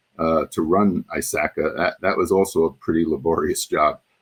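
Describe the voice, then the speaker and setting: Speaking with a New York accent, a man keeps his intonation fairly even. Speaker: former journal editor and association past chair. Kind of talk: interview. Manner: halting, many fillers.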